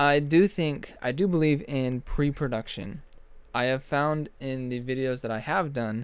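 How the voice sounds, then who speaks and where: A man talks at a moderate pace and medium pitch, with ordinary pitch variation. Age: 20s. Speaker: graphic designer and video creator. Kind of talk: unedited vlog monologue. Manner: casual, somewhat rambling with fillers.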